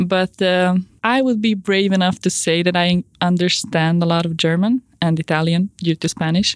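Speaking at a moderate pace with a non-native accent, a woman keeps a medium pitch, fairly even intonation and very even loudness, in a dry, close sound with no echo. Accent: non-native English accent, praised as cool. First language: Hungarian. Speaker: customer care representative and university student. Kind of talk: interview.

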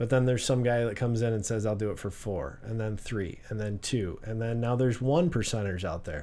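Hardly any pauses break this fairly quick delivery, which has a dark, mellow tone and audible room echo. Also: man, medium pitch for a man, ordinary pitch variation. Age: 40s. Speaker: real estate broker and business owner. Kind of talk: casual interview. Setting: studio.

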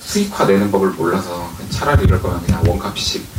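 Over noticeable background noise and audible room echo, a man with a fairly low pitch speaks at a fairly quick pace. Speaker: indie game studio head. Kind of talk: live panel talk. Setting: stage with audience.

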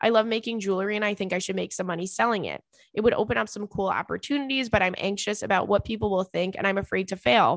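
A loud woman's voice at a medium pitch, very fast with hardly any pauses, with vocal fry and ordinary pitch variation. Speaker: podcast host. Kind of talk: casual chat. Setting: studio with headphones. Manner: animated, can get loud.

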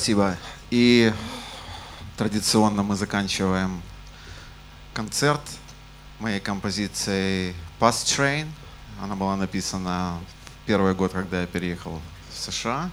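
A man talks with ordinary pitch variation and long, frequent pauses. Audible room echo and noticeable background noise are present. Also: fairly low pitch for a man, fairly slow pace. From Ukraine. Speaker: jazz bassist and bandleader. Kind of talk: concert stage announcements. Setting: stage with audience in jazz club.

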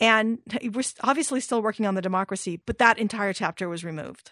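An unremarkable speaking voice moves at a fairly quick pace, the sound dry and close with no echo over a quiet background. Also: woman. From Iran, raised in California. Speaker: author. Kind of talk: interview.

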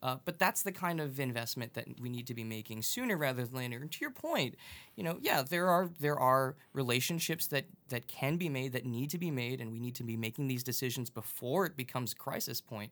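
A normal speaking voice from a man at medium pitch, fairly quick in pace, with ordinary pitch variation. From Long Island, New York. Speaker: transit advocate. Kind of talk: casual chat. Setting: studio.

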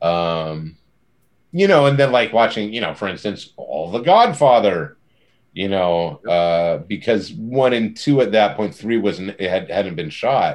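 A man with an ordinary speaking voice talks at a fairly slow pace, his fairly low pitch carrying lively intonation. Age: 50s. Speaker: comic book writer. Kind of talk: casual interview.

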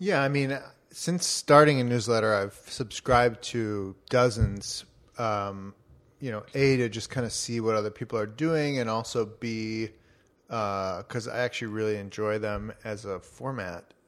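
A plain, everyday voice at a fairly slow pace with ordinary pitch variation, on a very clean recording with a silent background. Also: man, medium pitch for a man. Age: 30s. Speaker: newsletter publisher and podcast co-host. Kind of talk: casual chat. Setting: home recording.

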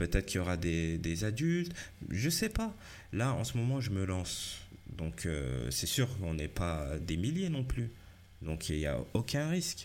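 A man's fairly low voice with very wide pitch swings, at a fairly slow pace. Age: 40s. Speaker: life and career coach, podcaster. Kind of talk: solo podcast monologue. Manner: halting, many fillers and repetitions.

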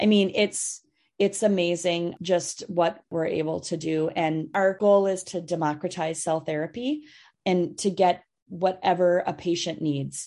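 Against a quiet background, a woman speaks with a dark, mellow tone, fairly low pitch and fairly even intonation. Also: fairly slow pace. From Minnesota. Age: 50s. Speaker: pediatric transplant physician. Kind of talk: interview.

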